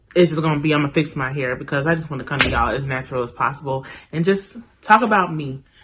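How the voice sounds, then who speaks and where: A woman's very deep, low voice at a very fast pace, with ordinary pitch variation and noticeable background noise. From US (born Charlotte, North Carolina; childhood partly England). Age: 30s. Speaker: vlogger. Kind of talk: casual personal vlog talk. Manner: casual, conversational with fillers.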